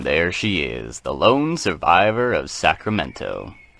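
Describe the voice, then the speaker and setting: A man puts on a character voice. He speaks fairly slowly at a fairly low pitch. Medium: audio drama.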